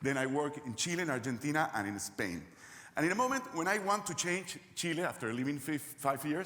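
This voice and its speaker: A man with a Peruvian accent talks at a fairly quick pace in a fairly high pitch, with very wide pitch swings. Noticeable background noise and audible room echo fill the recording. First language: Spanish. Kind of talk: conference presentation. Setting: stage with audience.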